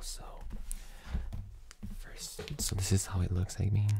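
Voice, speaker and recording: Soft-spoken and tired in tone, a woman talks. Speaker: ASMR content creator. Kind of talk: casual talk to camera. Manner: soft-spoken, tired.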